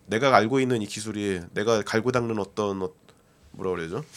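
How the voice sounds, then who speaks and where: A man talks at a fairly quick pace. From South Korea. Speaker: software developer and book translator. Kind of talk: casual interview chat. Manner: halting, many fillers.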